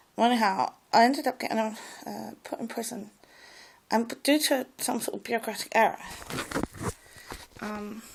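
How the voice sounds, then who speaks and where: With vocal fry and a fairly high pitch, a woman talks with ordinary pitch variation. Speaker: vlogger. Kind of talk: personal monologue. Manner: halting.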